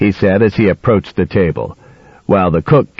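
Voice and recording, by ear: Someone reads text aloud naturally, with the pitch shifting by ordinary amounts.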